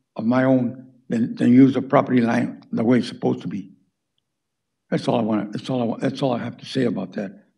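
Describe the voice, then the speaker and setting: The man has a medium pitch and a dark, mellow tone. There is vocal fry, and his pitch varies in an ordinary way. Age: 80s+. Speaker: retired contractor, public commenter. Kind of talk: public comment at city meeting. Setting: city planning commission meeting. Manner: halting, many repetitions.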